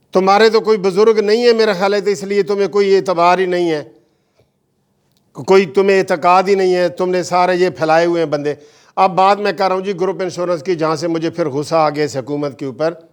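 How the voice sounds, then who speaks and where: This man's voice sits high in pitch. He speaks at a moderate pace with ordinary pitch variation. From Pakistan. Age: 60s. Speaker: lawyer and party chairman. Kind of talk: political commentary video. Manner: animated.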